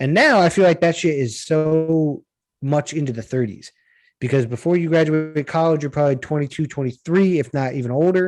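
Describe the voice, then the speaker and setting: Fairly quickly and in a plain, everyday voice, a man speaks with a fairly high pitch and ordinary pitch variation. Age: 20s. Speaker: podcast host. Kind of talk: casual chat.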